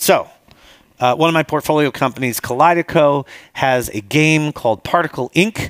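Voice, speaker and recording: The delivery moves at a moderate pace with ordinary pitch variation. The sound is dry with no echo, over a quiet background. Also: man. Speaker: conference speaker. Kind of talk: conference talk with slides. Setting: stage with audience. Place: hall.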